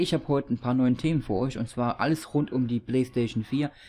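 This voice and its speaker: In a dark, mellow tone, this man keeps to a moderate pace. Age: 30s. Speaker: gaming YouTuber. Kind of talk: casual talk to camera. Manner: upbeat. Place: home room. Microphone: studio mic.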